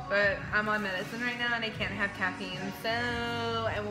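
Clear music plays in the background. A woman speaks at a moderate pace with ordinary pitch variation. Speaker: vlog co-host. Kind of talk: casual vlog chat. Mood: relaxed, cheerful. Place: cafe. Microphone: phone near.

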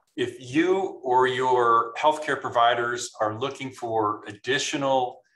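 The tone is bright and sharp, with fairly even intonation. Audible room echo sits over a quiet background. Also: man. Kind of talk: interview answer. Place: home room. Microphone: video call.

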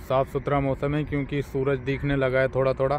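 A man at a fairly slow pace, dry with no echo, over light background noise. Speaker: truck driver vlogger. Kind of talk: casual vlog chat. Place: open country.

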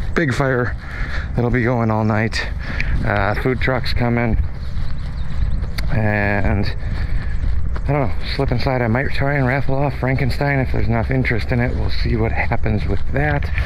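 Against noticeable background noise, a man talks at a moderate pace with long, frequent pauses, and the sound is dry with no echo. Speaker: property owner hosting a party. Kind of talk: casual vlog chat. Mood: relaxed, upbeat. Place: open country. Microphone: phone near.

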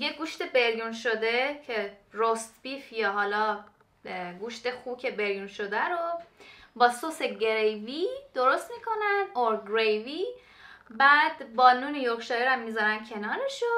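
At a fairly slow pace, a woman speaks in a bright, sharp tone at a high pitch with ordinary pitch variation. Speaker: cooking vlogger. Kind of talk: casual vlog chat. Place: kitchen. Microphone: camera far.

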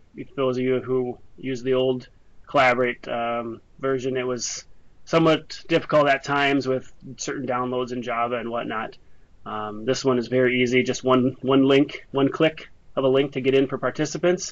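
Keeping his intonation fairly even, a man talks at a moderate pace. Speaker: presenter. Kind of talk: webinar presentation. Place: office. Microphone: webcam.

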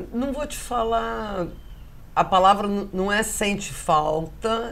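A woman speaks with lively intonation. Vocal fry runs through her voice. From Rio de Janeiro, Brazil. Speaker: caterer; interviewee. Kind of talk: casual interview chat. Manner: animated. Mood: candid, personal, reflective. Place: home room. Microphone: lapel.

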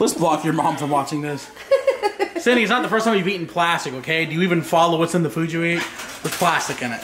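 A man talks at a very fast pace in a high pitch. Pitch variation is ordinary, and background noise is noticeable. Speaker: family vlogger. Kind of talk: casual vlog chat. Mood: joking, playful. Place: kitchen. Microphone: phone near.

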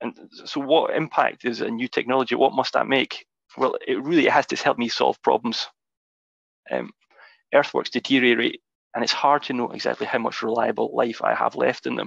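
At a moderate pace, a man talks with a Scottish accent against a quiet background. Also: dry sound with no echo. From Scotland. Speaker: geotechnical engineer; presenter. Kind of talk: webinar presentation. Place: home room. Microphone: video call.

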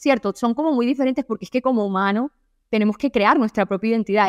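A woman's very fast, fairly high-pitched speech with ordinary pitch variation, dry and close with no echo, on a very clean recording with a silent background. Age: 20s. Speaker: self-help podcaster. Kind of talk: solo podcast monologue. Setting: at home.

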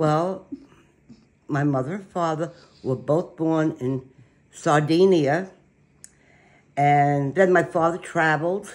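A woman with a New York accent and a very deep, low pitch, very slow with long, frequent pauses and fairly even intonation. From Brooklyn, New York. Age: 80s+. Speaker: grandmother telling family history. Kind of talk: interview answer. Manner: feisty, blunt. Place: kitchen. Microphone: phone near.

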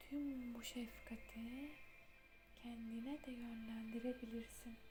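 Soft-spoken and calm, this voice moves at a very slow pace over music playing in the background. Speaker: meditation guide. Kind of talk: guided meditation, ASMR. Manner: soft-spoken, slow, calm.

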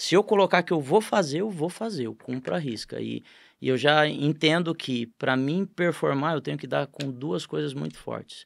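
A man speaks against a quiet background. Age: 40s. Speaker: business owner, franchise group founder; podcast guest. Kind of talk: podcast interview. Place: studio. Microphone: studio mic.

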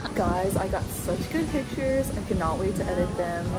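A woman at a moderate pace over loud music in the background. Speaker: travel vlogger. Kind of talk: casual vlog chat. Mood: happy, relaxed. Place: boat. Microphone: phone near.

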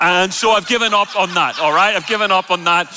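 With an Irish accent, a man uses a raised, projected voice over light background noise. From Ireland. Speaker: preacher. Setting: church stage, live audience. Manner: loud, energetic, jokey. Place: church.

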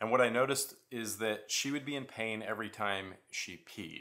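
A man is speaking. His tone is bright and sharp. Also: quiet background. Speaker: parent vlogger. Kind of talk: casual vlog chat. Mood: serious, worried. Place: home room.

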